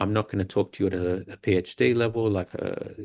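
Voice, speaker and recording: Against a quiet background, a man with an Australian accent speaks in a fairly low pitch with fairly even intonation. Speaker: university academic, guest speaker. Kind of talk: lecture.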